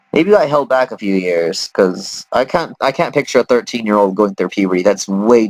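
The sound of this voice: Intonation here is lively. An unforced reading voice carries the words.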